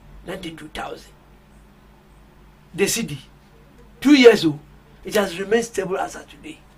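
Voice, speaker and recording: A man talks at a fairly quick pace and a high pitch, with ordinary pitch variation and big swings in loudness. Long, frequent pauses break up his speech, and there is noticeable background noise. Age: 70s. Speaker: political party communicator and football journalist. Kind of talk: radio panel discussion.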